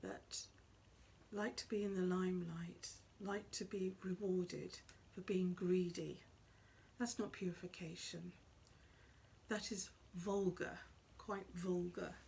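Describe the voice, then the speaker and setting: Soft-spoken and somewhat breathy, the voice has a dark, mellow tone and a monotone, flat intonation. It moves very slowly, with long, frequent pauses. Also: woman, medium pitch for a woman. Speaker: psychic medium. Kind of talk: spiritual talk to camera.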